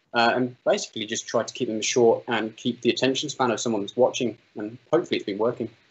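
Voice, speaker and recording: Speaking very fast with hardly any pauses, a man with an English Midlands accent keeps a medium pitch and fairly even intonation. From English Midlands, Solihull near Birmingham. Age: 30s. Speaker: drone pilot and video maker. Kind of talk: interview.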